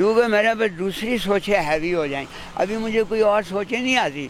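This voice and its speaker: Ordinary pitch variation from a man, with noticeable background noise behind him. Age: old. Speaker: street vendor. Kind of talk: interview answer.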